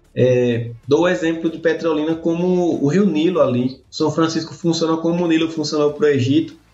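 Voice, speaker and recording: Noticeable background noise sits behind a man speaking at a fairly high pitch with fairly even intonation. He keeps a moderate pace with hardly any pauses. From Sergipe, Brazil. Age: 30s. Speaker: irrigation professor. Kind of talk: interview.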